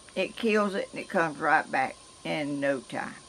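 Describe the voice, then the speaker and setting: A woman speaks with a Georgia accent. Light background noise can be heard. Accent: Southern US, Georgia. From US South. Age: 80s+. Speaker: vlogger. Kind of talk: casual vlog talk; casual vlog chat. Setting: outdoors. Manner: halting. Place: garden. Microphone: camera far.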